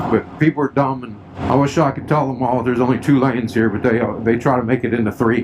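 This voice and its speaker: A man's medium-pitched voice at a very fast pace, fairly even in intonation, with noticeable background noise. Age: 60s. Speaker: motorcycle vlogger. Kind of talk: riding commentary vlog. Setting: outdoors riding a three-wheeled motorcycle. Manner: casual, conversational.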